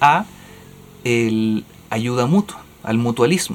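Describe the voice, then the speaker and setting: A man talks with a Chilean accent. His intonation is lively. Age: 30s. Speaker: podcast co-host. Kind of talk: casual chat.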